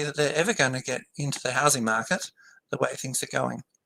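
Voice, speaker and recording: Bright and sharp in tone, a man talks at a moderate pace with an Australian accent. His pitch varies in an ordinary way, and the sound is dry and close with no echo. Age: 70s. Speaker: political campaigner. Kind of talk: interview. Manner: hesitant, many ums.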